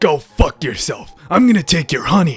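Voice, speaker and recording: The speaker uses a put-on character voice at a middle pitch and a moderate pace. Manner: aggressive, crude, threatening.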